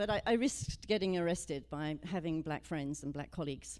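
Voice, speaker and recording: A woman talks at a moderate pace with ordinary pitch variation. Her voice is fairly low, with a dark, mellow tone. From Britain. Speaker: minister. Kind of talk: sermon. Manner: casual, storytelling.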